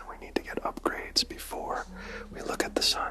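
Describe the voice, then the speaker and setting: A man whispers at a moderate pace in a calm tone. Noticeable background noise can be heard. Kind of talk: ASMR livestream storytelling. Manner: soft-spoken, calm, guiding.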